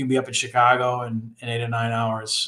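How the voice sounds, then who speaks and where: A man with a Northeastern US accent, at a medium pitch and moderate pace, with monotone, flat intonation. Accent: Northeast US. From Rhode Island, US Northeast. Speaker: engineering professor. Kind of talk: casual chat. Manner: halting, many fillers.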